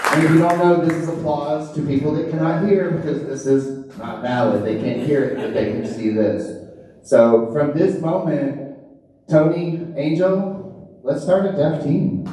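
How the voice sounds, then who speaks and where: Amid noticeable background noise and audible room echo, a man talks at a fairly slow pace in a fairly high pitch. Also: ordinary pitch variation. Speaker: hall of fame inductee, softball coach and umpire. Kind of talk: acceptance speech. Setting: event with live audience. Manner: loud; animated.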